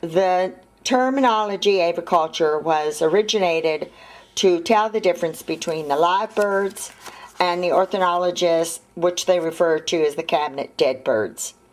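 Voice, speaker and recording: Here a woman talks at a moderate pace in a plain, everyday voice. Her pitch is fairly low and shows ordinary variation. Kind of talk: explanatory vlog talk. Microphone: phone near.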